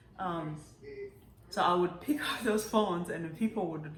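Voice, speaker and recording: The speech comes at a moderate pace with ordinary pitch variation. Audible room echo and noticeable background noise are present. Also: woman. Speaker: YouTube vlogger. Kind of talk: casual vlog monologue. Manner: casual, many fillers and restarts.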